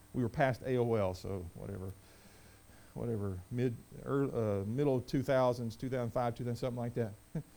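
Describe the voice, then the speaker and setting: This man speaks at a moderate pace in a dark, mellow tone. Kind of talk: sermon. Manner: animated, emphatic, repeats phrases for punch; conversational, folksy, joking.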